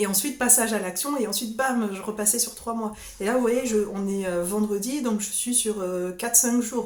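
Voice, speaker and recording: Noticeable background noise and audible room echo surround this recording. A woman speaks at a fairly high pitch and moderate pace with fairly even intonation. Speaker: sophrologist. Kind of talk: solo vlog talk. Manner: halting, repeats words.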